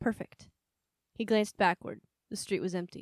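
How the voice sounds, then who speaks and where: An ordinary speaking voice at a moderate pace, fairly even intonation, dry close sound with no echo, very clean recording over a silent background. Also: woman. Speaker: audiobook narrator. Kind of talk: audiobook narration.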